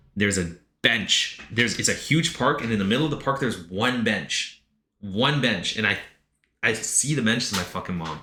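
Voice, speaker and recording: With audible room echo behind him, a man talks in an animated tone with ordinary pitch variation. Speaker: streamer reading chat submissions. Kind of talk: live stream reaction. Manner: fast.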